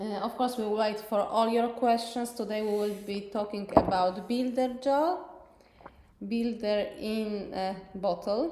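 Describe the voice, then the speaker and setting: A woman with a Polish accent, her pitch fairly high with ordinary variation and her pace fairly slow, amid audible room echo and noticeable background noise. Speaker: nail technician educator. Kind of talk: live tutorial stream. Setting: live stream on Facebook and YouTube.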